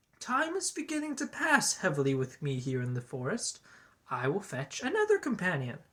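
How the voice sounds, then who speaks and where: A put-on character voice at a middle pitch delivers lines at a moderate pace. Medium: read story.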